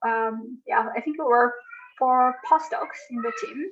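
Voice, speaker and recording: A woman's high voice with lively intonation. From Madagascar. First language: Malagasy. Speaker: conservation researcher. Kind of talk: interview. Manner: hesitant, many fillers.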